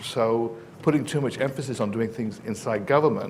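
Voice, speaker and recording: Noticeable background noise surrounds a man with an English accent. His pitch is medium, with ordinary variation. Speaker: professor. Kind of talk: panel discussion. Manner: halting, many fillers.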